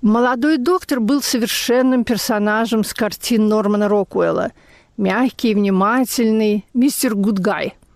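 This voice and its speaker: A woman with a plain, everyday voice and a fairly high pitch talks at a fairly slow pace, with ordinary pitch variation and very even loudness. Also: very clean recording, silent background. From Russia, Leningrad. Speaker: memoirist. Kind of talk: reading aloud.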